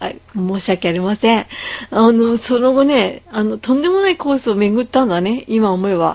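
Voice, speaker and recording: A woman uses an ordinary speaking voice at a moderate pace. Her pitch is fairly high, with lively intonation. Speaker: podcast host. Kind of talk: casual chat. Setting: Skype call.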